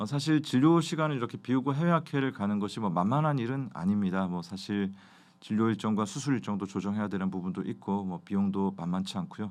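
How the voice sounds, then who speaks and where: A fairly low-pitched man at a fairly quick pace, lively in intonation, over a quiet background. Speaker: ophthalmologist, glaucoma specialist. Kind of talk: educational review talk. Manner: hesitant, many fillers.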